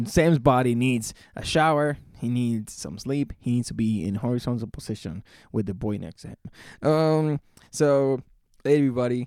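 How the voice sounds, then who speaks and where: Speaking at a moderate pace, a man with a medium pitch and a dark, mellow tone shows ordinary pitch variation. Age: 20s. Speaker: podcast co-host, hot sauce maker. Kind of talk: casual chat. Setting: recorded live on location after a food show. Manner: animated.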